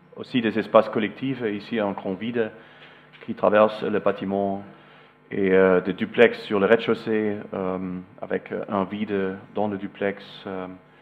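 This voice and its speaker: A man with a German accent speaks at a fairly slow pace in a fairly low voice with monotone, flat intonation. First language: German (speaking French). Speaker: architect. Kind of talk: lecture. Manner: halting, many hesitations.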